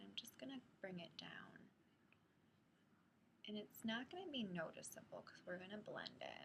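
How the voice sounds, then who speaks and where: A whispering woman at a moderate pace. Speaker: beauty vlogger. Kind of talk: makeup tutorial talk to camera. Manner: soft-spoken, quiet.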